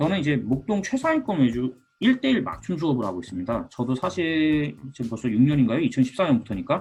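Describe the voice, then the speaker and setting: With music in the background, a man with a fairly high voice talks at a fairly quick pace with hardly any pauses, his pitch swinging very widely. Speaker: high school math teacher. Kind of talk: educational video talk. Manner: casual, with many fillers.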